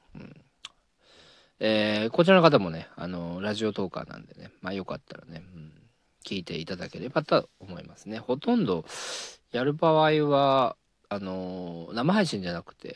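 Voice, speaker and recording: At a moderate pace, a man with a fairly low pitch talks with very wide pitch swings, big swings in loudness and long, frequent pauses, in a dry, close sound with no echo on a very clean recording with a silent background. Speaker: radio talk podcaster; comedian. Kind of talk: casual solo monologue.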